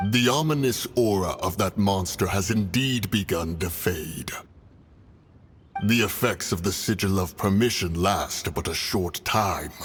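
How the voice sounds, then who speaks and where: Using a put-on character voice, a man speaks at a fairly low pitch and a moderate pace. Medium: video game. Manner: grave, stern.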